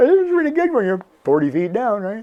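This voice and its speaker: Delivered at a very fast pace, the speech has very wide pitch swings. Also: man. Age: 70s. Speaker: scuba diving instructor and video host. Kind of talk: casual tutorial to camera. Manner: conversational, with many fillers and restarts.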